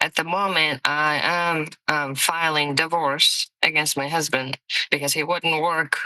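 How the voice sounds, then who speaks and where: A woman's fairly low voice with a bright, sharp tone and a Mongolian accent, fairly slow in pace, in a dry, close sound with no echo. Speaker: parent in court case, travel nurse. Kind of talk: courtroom testimony.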